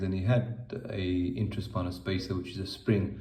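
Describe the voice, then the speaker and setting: A man talks with a very deep, low pitch and a dark, mellow tone. His delivery is somewhat breathy, with fairly even intonation. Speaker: spinal surgeon. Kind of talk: patient case explanation.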